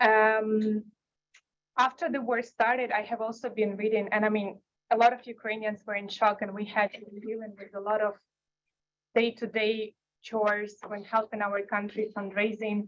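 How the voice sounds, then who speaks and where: With monotone, flat intonation, a woman speaks at a moderate pace in a fairly high pitch. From Ukraine. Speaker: panelist on foreign policy. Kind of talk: panel discussion.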